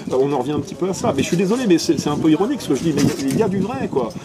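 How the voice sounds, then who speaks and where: Lively intonation over noticeable background noise. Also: man. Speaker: nationalist writer and activist. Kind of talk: casual political discussion. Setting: café. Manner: loud.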